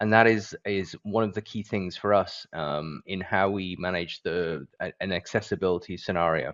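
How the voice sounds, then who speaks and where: A very deep, low-pitched man with a British accent, fairly even intonation and a moderate pace. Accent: British, with some American terms. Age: 40s. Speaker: business leader. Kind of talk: event presentation.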